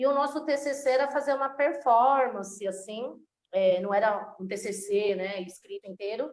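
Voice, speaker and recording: In a plain, everyday voice, a woman speaks at a fairly high pitch with ordinary pitch variation and a moderate pace. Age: 30s. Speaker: actress and slam poet. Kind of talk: interview conversation.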